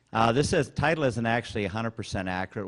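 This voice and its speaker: A man talks with an American accent against a quiet background. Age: 60s. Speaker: rancher. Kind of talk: conference talk. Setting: stage with audience. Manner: informal.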